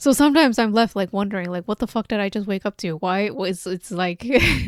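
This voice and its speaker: Recorded with a dry, close sound and no echo, a woman speaks fairly quickly at a medium pitch with ordinary pitch variation. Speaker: video game streamer. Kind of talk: casual live stream chat. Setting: live stream. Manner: loud.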